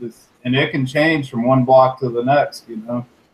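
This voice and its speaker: His pitch is medium. The man speaks at a moderate pace. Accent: Virginia. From Virginia, near Richmond. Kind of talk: live stream chat.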